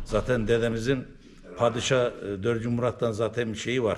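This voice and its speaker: A man with an eastern Turkish accent speaks at a medium pitch in a monotone, flat intonation. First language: Zaza (speaking Turkish). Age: 70s. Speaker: Alevi religious elder. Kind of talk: interview, oral history.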